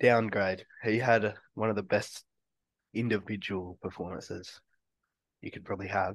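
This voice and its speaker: The speaker, with an Australian accent, keeps a moderate pace in a flat monotone, with long, frequent pauses and big swings in loudness against a quiet background. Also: man, fairly low pitch for a man. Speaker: sports podcast co-host. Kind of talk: casual chat.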